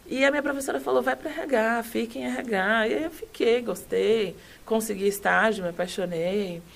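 With vocal fry and very wide pitch swings, a woman speaks in a fairly high voice. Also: moderate pace. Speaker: HR consultant and company CEO. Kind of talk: casual interview chat.

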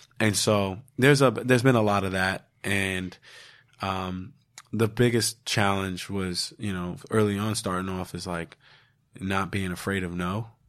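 A man with an ordinary speaking voice talks at a fairly slow pace, his pitch fairly low and his intonation fairly even. The recording is very clean, with a silent background. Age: 30s. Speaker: podcast host and mental health advocate. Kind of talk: casual chat.

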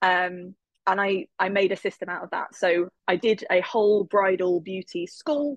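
A woman speaks with an English accent. The sound is dry and close, with no echo. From England. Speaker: network marketer, former maths teacher. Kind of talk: interview.

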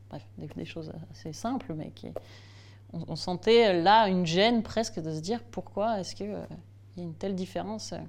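The room adds clear echo to this recording. The woman talks at a moderate speed. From Alsace, France (Strasbourg). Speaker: improv actor and puppeteer. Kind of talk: interview.

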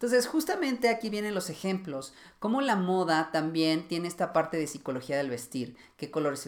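In a plain, everyday voice, a man speaks at a fairly quick pace with lively intonation. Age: 30s. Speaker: fashion stylist and podcast host. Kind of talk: solo educational podcast. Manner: casual, with frequent fillers.

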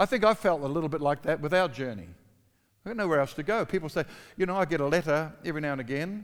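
Over a silent background in a very clean recording, a man with a New Zealand accent talks at a very fast pace, his fairly high voice full of lively intonation. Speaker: pastor. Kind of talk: sermon.

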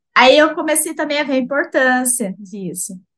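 Her tone comes across bright and sharp. The woman's voice is raised and projected. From São Paulo state, Brazil (Itaquaquecetuba). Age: 20s. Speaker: animal science student. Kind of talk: casual interview.

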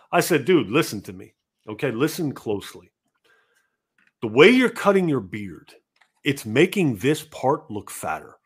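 Recorded very cleanly against a silent background, a man with a fairly high pitch and vocal fry talks at a fairly slow pace, his pitch swinging very widely. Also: long, frequent pauses, big swings in loudness. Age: 40s. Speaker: gaming podcast host. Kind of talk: casual chat. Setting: live stream.

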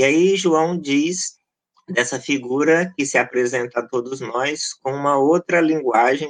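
A man with a plain, everyday voice speaks at a fairly slow pace, his fairly high pitch showing ordinary variation. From Goiás, Brazil. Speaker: pastor and researcher. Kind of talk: podcast interview.

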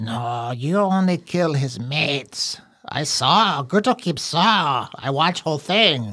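A man puts on a character voice at a fairly high pitch. He speaks at a fairly slow pace. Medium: actual play. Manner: broken speech, talks of himself in third person; frightened, pleading, eager to bargain.

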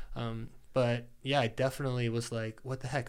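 A man with a normal speaking voice talks at a medium pitch and a moderate pace. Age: 30s. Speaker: performance coach and athlete. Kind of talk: casual interview. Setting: host's home studio.

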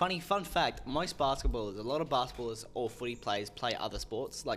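A man talks at a very fast pace in a strong Australian accent. Vocal fry runs through his voice. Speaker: podcast host. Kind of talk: casual chat. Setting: studio. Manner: animated.

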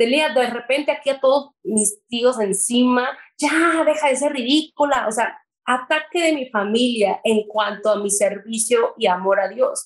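A woman speaks at a high pitch with very even loudness. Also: ordinary pitch variation, fairly slow pace. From Mexico. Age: 20s. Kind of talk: testimony. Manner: talkative.

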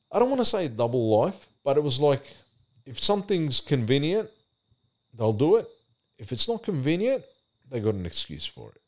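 A fairly high male voice in an Australian accent, moderate in pace, with very wide pitch swings, big swings in loudness, and long, frequent pauses. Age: 40s. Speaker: church youth mentor. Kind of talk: casual chat.

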